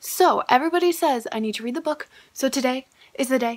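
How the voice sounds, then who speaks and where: Very wide pitch swings mark this voice at a fairly quick pace. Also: woman. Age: 20s. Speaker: booktuber / video blogger. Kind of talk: casual vlog talking to camera. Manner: animated. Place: home room. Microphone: phone near.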